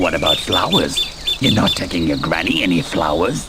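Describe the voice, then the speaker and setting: Against loud background noise, a man performs a cartoonish character voice at a moderate pace. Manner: sly, coaxing.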